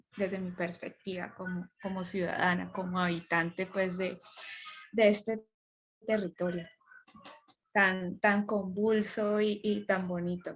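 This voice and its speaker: A woman's medium-pitched, flat monotone at a fairly slow pace, with long, frequent pauses and music in the background. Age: 20s. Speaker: lawyer and academic, podcast guest. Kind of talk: casual interview chat.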